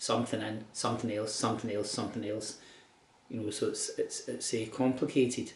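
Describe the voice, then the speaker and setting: A man with a Glasgow accent talks at a very fast pace. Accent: Scottish (Glasgow). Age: 60s. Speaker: cancer patient keeping a video diary. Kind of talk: personal video diary. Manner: halting, with repetitions.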